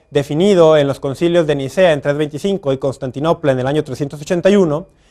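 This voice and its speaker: A man's voice with ordinary pitch variation. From Mexico, Guadalajara. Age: young. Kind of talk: religious teaching talk to camera. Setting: recorded outdoors in front of a basilica with crew. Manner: fast.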